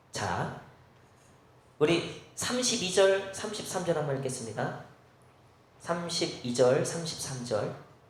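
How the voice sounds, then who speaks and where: A high-pitched man speaks with lively intonation at a very slow pace, leaving long, frequent pauses. Audible room echo and noticeable background noise fill the recording. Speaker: pastor. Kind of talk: sermon. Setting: church.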